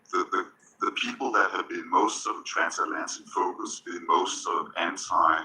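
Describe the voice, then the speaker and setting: A man with an extremely high pitch, a bright, sharp tone, a Danish accent and a moderate pace. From Denmark. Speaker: panelist, tech industry executive and former diplomat. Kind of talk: panel discussion. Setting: stage with audience. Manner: conversational, with frequent fillers and repetitions.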